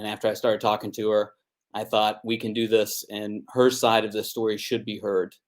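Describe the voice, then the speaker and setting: Speaking at a moderate pace, a man with a fairly low pitch and an American accent uses an ordinary speaking voice. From United States. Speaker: interviewer, ex-Jehovah's Witness. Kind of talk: interview.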